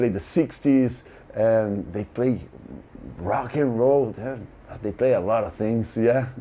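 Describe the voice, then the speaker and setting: With a Brazilian Portuguese accent, a man speaks very slowly at a medium pitch. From Brazil (Santos). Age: 50s. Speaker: music fan. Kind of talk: interview storytelling. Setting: hotel room. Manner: halting, many fillers and repeats; animated.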